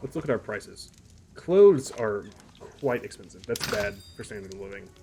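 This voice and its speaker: Over noticeable background noise, a man talks fairly quickly at a medium pitch, with very wide pitch swings and big swings in loudness. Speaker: gaming YouTuber. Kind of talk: let's play commentary; reading aloud. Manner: fast; casual.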